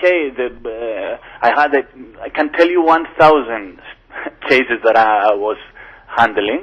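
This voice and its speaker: A man with a Greek accent, lively intonation, a fairly slow pace and long, frequent pauses. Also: medium pitch for a man. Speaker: lawyer. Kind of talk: interview. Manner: halting, many false starts; animated.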